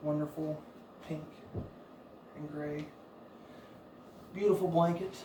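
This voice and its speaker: Soft-spoken and monotone, a man with a fairly high pitch talks at a fairly slow pace with long, frequent pauses, with audible room echo and noticeable background noise. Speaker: fitness coach. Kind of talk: workout instruction.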